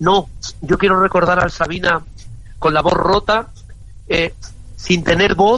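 Fairly slowly, a man speaks at a high pitch in a bright, sharp tone. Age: 60s. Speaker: singer. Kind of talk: interview. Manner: animated.

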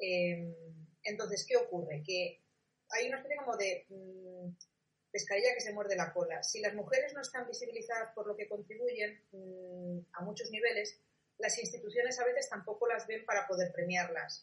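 A woman talks at a moderate pace with ordinary pitch variation. Her pitch is fairly high. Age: 40s. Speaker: communication and social media expert, Wikipedia project coordinator. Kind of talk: interview. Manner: halting.

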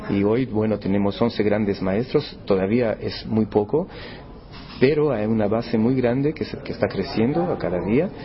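The voice shows ordinary pitch variation. Background noise is noticeable. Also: man, fairly low pitch for a man, moderate pace. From Brazil, São Paulo. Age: 50s. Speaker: chess tournament organizer. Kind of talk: interview.

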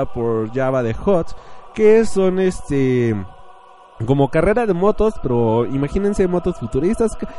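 The speech has an animated tone, with very wide pitch swings, at a fairly slow pace. Noticeable background noise runs underneath. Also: man. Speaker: podcast host. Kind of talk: casual monologue.

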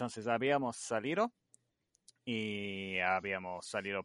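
A man with an English accent speaks at a fairly slow pace in a fairly low pitch, with a dry, close sound, no echo and a quiet background. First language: English (speaking Spanish). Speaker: light painting artist. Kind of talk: interview. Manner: halting.

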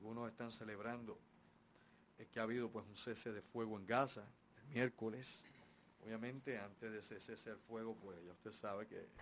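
This is an ordinary speaking voice from a man at a medium pitch. He talks at a fairly quick pace with fairly even intonation. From Puerto Rico and US. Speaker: radio host. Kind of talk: live radio talk show. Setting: radio studio.

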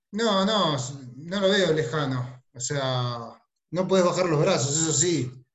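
Audible room echo surrounds a man speaking very slowly at a fairly high pitch, his intonation lively. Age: 30s. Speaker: salesperson. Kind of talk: video call team meeting.

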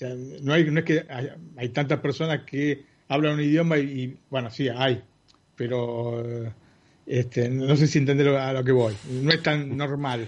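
Speaking in a Rioplatense accent, a man with a fairly high pitch keeps a fairly slow pace and fairly even intonation. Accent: Argentine Spanish (rioplatense). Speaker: tech podcast panelist. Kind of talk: casual chat.

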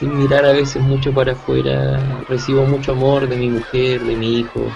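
A man talks fairly slowly amid noticeable background noise and audible room echo. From Chile, Santiago. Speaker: musician and music teacher. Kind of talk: interview. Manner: halting.

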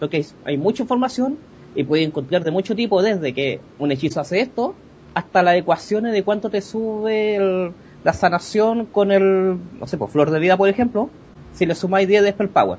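A man's high-pitched voice, lively in intonation, at a moderate pace. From Chile. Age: 30s. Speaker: gaming blogger. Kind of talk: interview.

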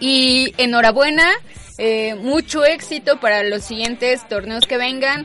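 Against noticeable background noise, a woman speaks fairly slowly at a high pitch with ordinary pitch variation. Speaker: sports radio host. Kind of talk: casual chat. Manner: animated.

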